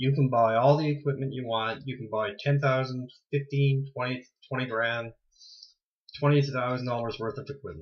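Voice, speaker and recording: A man's somewhat breathy voice at a medium pitch, fairly even in intonation, at a moderate pace with big swings in loudness. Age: 40s. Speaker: ghost hunter video blogger. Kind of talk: casual monologue. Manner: halting.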